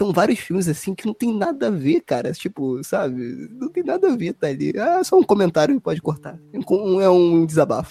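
At a moderate pace and with hardly any pauses, a man speaks in a high, dark, mellow voice with very wide pitch swings, recorded with a dry, close sound and no echo. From Brazil. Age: 20s. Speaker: podcast host. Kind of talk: casual chat.

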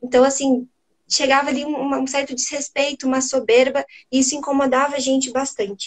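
A woman with a high pitch speaks at a moderate pace in a monotone, flat intonation. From southern Brazil, Curitiba. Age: 20s. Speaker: livestream host. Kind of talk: livestream interview.

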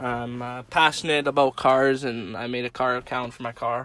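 This man's voice sits at medium pitch with monotone, flat intonation. He speaks at a fairly slow pace. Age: young. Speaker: college student and car enthusiast. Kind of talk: casual chat. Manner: halting.

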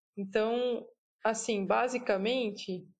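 The woman's pitch is fairly high, with ordinary variation. She speaks at a very slow pace. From São Paulo state, Brazil (Piracicaba). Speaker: professional triathlete. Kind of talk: casual interview.

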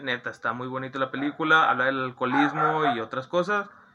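At a moderate pace, a man talks while noticeable background noise continues. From Monterrey, Nuevo León, Mexico. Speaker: podcast host. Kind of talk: casual chat.

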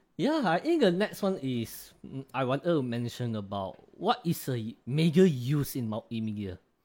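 A man speaks at a medium pitch and a fairly slow pace, his pitch swinging very widely. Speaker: podcast host. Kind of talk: casual chat. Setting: video call. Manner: halting.

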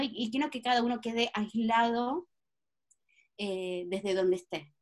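A woman with a plain, everyday voice speaks at a fairly high pitch. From Patagonia, Argentina. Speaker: astrologer and project leader. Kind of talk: interview conversation.

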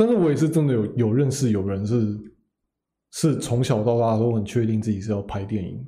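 With audible room echo, a man speaks at a fairly quick pace in a medium pitch, his dark, mellow tone somewhat breathy and his intonation fairly even. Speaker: podcast co-host. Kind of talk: casual chat.

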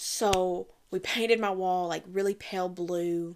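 An American woman with an American accent speaks at a very slow pace and medium pitch in a monotone, flat intonation. The recording is very clean, with a silent background. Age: 20s. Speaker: podcast host. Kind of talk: casual solo monologue. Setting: at home, recording in the dark during power outage. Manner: chatty, with fillers.

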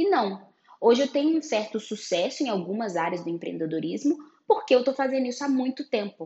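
Very wide pitch swings in a woman's high-pitched voice, moving fairly quickly. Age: 30s. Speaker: photographer and podcast host. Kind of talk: solo podcast monologue.

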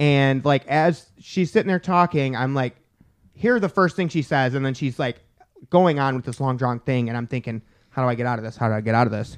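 A man with a plain, everyday voice speaks at a fairly quick pace, his medium pitch moving with ordinary variation. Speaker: podcast host. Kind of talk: casual comedy banter. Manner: rude, joking, loud.

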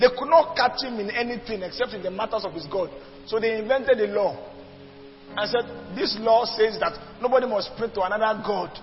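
Amid noticeable background noise, a man with a high pitch talks at a fairly quick pace, with ordinary pitch variation. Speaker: preacher. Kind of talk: sermon.

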